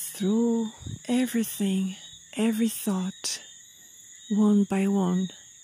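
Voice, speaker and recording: A woman's calm, soothing, somewhat breathy voice, dark and mellow in tone, at a medium pitch with fairly even intonation, very slow pace and long, frequent pauses. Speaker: meditation guide. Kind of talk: guided meditation. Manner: slow, calm, soothing, with gentle pauses.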